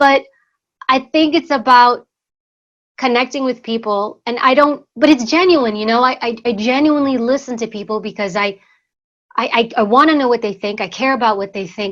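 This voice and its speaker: A woman with a New York accent speaks at a moderate pace and a high pitch, with ordinary pitch variation. The background is quiet. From US Northeast, New York City. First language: Greek. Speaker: former secret service agent and author. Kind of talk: interview conversation.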